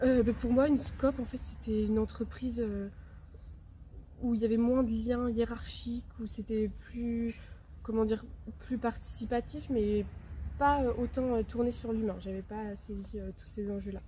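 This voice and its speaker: Speaking at a fairly slow pace, a woman leaves long, frequent pauses, and her loudness swings widely. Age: 20s. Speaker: intern, business administration student. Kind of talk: interview testimony. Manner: hesitant, many filler sounds.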